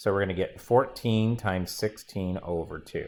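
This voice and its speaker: Using an ordinary speaking voice, a man talks at a moderate pace and varies his pitch in an ordinary way. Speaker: math teacher. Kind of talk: classroom lecture.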